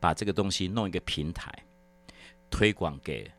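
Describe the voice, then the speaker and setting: A man's very deep, low voice with vocal fry, lively intonation and an animated tone at a fairly slow pace, on a very clean recording with a silent background. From Taiwan, Hakka. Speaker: sales executive. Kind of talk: interview. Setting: studio.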